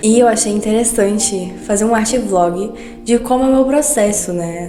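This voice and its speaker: Soft-spoken and medium in pitch, a woman talks over music in the background, with audible room echo around her voice. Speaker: artist vlogger. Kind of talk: casual art vlog narration. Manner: soft-spoken, speaking quietly.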